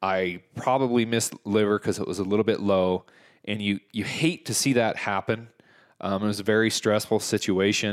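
A man with an unremarkable speaking voice, fairly low-pitched, talking at a fairly quick pace with fairly even intonation. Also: very clean recording, silent background. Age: 30s. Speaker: podcast host, hunter. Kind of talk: casual interview chat.

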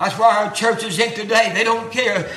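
A man speaks in a raised, projected voice at an extremely high pitch, with a Southern US accent, monotone, flat intonation and noticeable background noise. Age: 70s. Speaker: preacher. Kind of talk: sermon. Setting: church.

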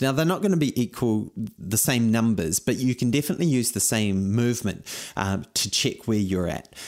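Over a very clean recording with a silent background, a man speaks with a New Zealand accent. His intonation is lively. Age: 40s. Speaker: running coach podcast host. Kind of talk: fitness tutorial monologue. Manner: energetic.

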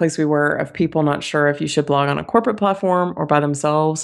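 In a quiet background, a woman with a normal speaking voice and a fairly low pitch talks at a fairly quick pace. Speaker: podcast host. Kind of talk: casual chat.

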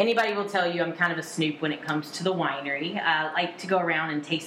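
A woman with an American accent speaks at a very fast pace with ordinary pitch variation. Noticeable background noise and audible room echo are present. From central North Carolina. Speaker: tasting room manager. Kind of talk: casual interview chat. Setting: on location at a vineyard.

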